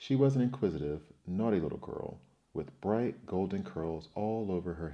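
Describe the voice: The clip features plain reading aloud, delivered with lively intonation.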